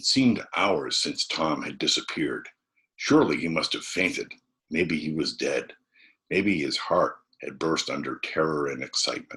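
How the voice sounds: A man's extremely low pitch with a bright, sharp tone, a slightly husky edge and a fairly slow pace. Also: ordinary pitch variation.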